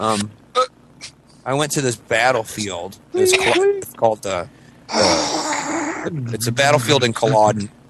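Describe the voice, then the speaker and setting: Noticeable background noise sits behind a man talking at a fairly slow pace. He leaves long, frequent pauses. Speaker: podcast host. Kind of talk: casual chat. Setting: home, kids sleeping nearby. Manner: quiet, holding back volume; halting, many fillers.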